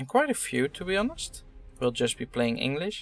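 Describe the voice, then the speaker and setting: Music in the background behind a man speaking at a moderate pace. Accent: non-native. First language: not English. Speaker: gaming YouTuber. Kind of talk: game demo playthrough commentary. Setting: home recording with headset. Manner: hesitant, many fillers.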